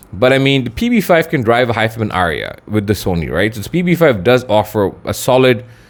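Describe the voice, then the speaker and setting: This man talks at a fairly quick pace with very wide pitch swings. Vocal fry runs through his voice. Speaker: audio gear reviewer. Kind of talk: product review. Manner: casual, conversational.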